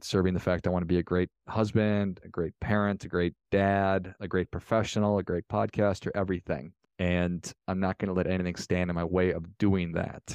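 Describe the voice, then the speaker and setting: Recorded with a dry, close sound, no echo and a quiet background, a man with an American accent and a very deep, low pitch speaks at a fairly quick pace with hardly any pauses and monotone, flat intonation. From Minnesota. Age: 40s. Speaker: podcast host and former tennis player. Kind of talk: interview.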